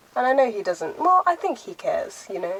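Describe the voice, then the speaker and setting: Noticeable background noise accompanies a woman talking at a moderate speed. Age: young. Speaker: lifestyle vlogger. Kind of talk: casual vlog talk to camera. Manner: loud.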